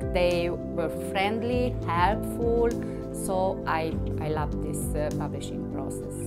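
With a non-native accent, a woman speaks very slowly over loud background music. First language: not English. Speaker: author. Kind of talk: interview answer. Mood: warm, proud. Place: home room.

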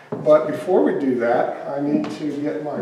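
Amid light background noise and audible room echo, a man speaks at a very slow pace. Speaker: museum volunteer guide. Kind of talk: tutorial. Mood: cheerful, excited. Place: workshop.

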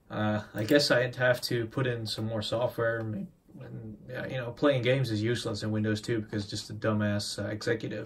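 There is light background noise as a man talks at a moderate pace. His pitch is medium and his intonation fairly even. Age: 20s. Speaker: tech youtuber. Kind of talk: tutorial. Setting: home workbench with camera on tripod. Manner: casual, hesitant with fillers. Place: home room. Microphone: phone near.

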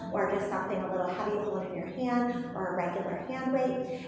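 A woman talks at a fairly quick pace with ordinary pitch variation, strong room echo and noticeable background noise. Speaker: movement instructor. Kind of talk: tutorial. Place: gym. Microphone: camera far.

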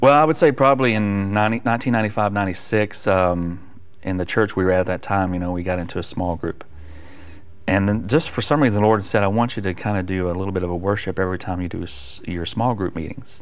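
At a fairly quick pace, a man with an American accent speaks at a fairly low pitch with ordinary pitch variation. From US South. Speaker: worship leader and evangelist; evangelist. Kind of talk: testimony. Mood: warm, earnest. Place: studio. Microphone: lapel.

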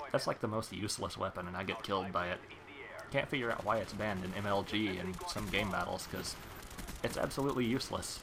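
A man with a fairly low pitch speaks very fast, with fairly even intonation, while noticeable noise sits in the background. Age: 30s. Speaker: gaming YouTuber. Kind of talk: gameplay commentary. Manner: casual, conversational.

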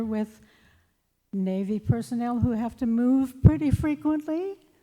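Speaking at a fairly slow pace, a woman has a dark, mellow tone and ordinary pitch variation. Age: 80s+. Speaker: public commenter at council meeting. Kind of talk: public comment.

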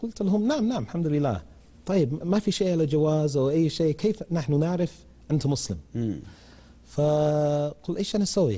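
A man speaks with a London accent at a fairly slow pace. His pitch is fairly high and his intonation lively. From England, London. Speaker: English teacher. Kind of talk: TV interview. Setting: studio. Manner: halting. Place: studio. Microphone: lapel.

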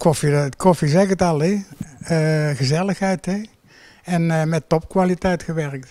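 A man's high-pitched voice, dark and mellow in tone, with fairly even intonation at a fairly slow pace. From Netherlands, Breda (North Brabant). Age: 70s. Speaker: long-serving coffee roaster. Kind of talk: interview. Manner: halting.

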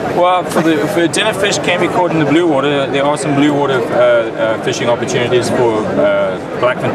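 Loud background noise surrounds a man who speaks with hardly any pauses. The sound is dry, with no echo. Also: fairly quick pace. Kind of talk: interview answer. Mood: friendly, promotional. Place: hall. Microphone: phone near.

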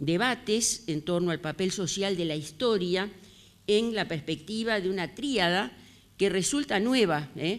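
The speaker is a woman with lively intonation. She moves at a very slow pace. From Uruguay. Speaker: historian; historian lecturer. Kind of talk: lecture. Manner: halting. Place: classroom. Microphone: handheld.

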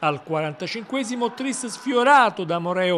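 With lively intonation and a high pitch, a man speaks against noticeable background noise. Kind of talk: sports commentary, highlights recap narration. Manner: rapid-fire, clipped play-by-play delivery with minute markers.

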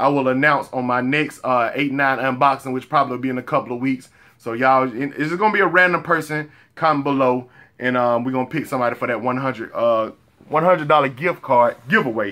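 Against a quiet background, a man talks at a very fast pace in a bright, sharp tone with ordinary pitch variation. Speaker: clothing vlogger. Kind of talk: casual vlog chat. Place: home room.

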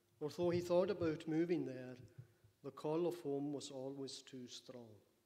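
A man's dark, mellow tone at a moderate pace with fairly even intonation. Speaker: speaker. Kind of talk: eulogy. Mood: solemn, warm. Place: church. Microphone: podium.

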